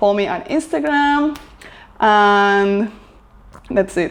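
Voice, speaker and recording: This speaker has a Spanish accent and a fairly slow pace. The intonation is lively. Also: woman. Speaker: lifestyle vlogger. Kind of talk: casual vlog talk to camera. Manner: hesitant, filler-heavy.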